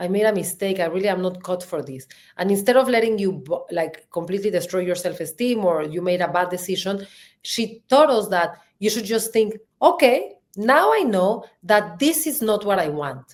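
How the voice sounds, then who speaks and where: A woman with a strong Mexican accent talks in an animated tone at a moderate pace. Her pitch sits in the medium range, and her intonation is lively. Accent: thick Mexican Spanish. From Mexico. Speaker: marketing executive and podcast co-host. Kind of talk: interview.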